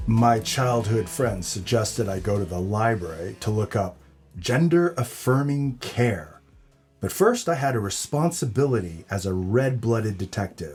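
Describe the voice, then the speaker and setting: A man's put-on character voice at medium pitch and a moderate pace, with faint music in the background. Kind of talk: comedy audio drama noir narration.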